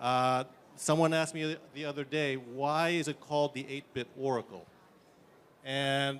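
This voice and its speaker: This man has a fairly high voice with fairly even intonation. He talks at a moderate pace. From US, New York. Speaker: tech startup founder. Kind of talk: conference demo presentation. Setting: conference stage.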